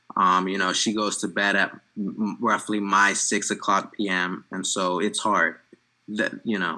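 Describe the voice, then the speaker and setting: In a Mid-Atlantic accent, a man speaks fairly slowly with a bright, sharp tone, a fairly low pitch and monotone, flat intonation. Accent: American, Mid-Atlantic. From USA. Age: 20s. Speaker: interviewee. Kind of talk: interview. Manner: hesitant, many fillers.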